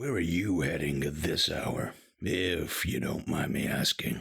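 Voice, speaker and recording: Putting on a raspy character voice, a man speaks very deep and low at a fairly slow pace with lively intonation. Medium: video game. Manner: crude, leering.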